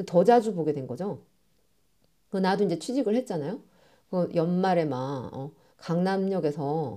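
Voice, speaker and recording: Her tone is dark and mellow, her pitch fairly low for a woman. She speaks at a fairly slow pace with very wide pitch swings. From South Korea, Masan. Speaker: podcast host. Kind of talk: casual monologue. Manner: animated.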